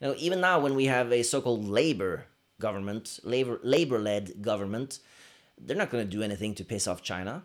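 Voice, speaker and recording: Lively intonation from a man at medium pitch with a Norwegian accent. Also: fairly quick pace. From Norway. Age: 30s. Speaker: podcast co-host. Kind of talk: casual chat. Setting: living room. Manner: animated.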